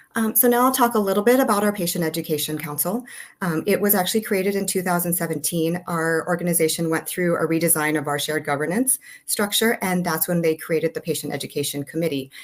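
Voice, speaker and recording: Words come out at a very fast pace with ordinary pitch variation. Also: woman, fairly low pitch for a woman. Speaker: nurse leader. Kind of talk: webinar presentation. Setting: webinar.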